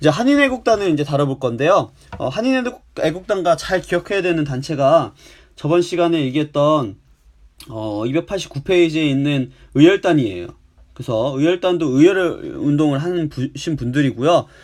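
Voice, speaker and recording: On a very clean recording with a silent background, a man with a normal speaking voice, fairly high in pitch, talks at a moderate pace with lively intonation. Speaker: high school history teacher. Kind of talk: recorded lecture. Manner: frequent filler pauses.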